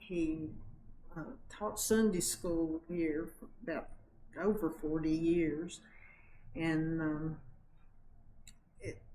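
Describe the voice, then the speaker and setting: A woman with a fairly low pitch speaks very slowly, leaving long, frequent pauses. Audible room echo surrounds her voice. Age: 70s. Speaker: longtime church member. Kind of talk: interview.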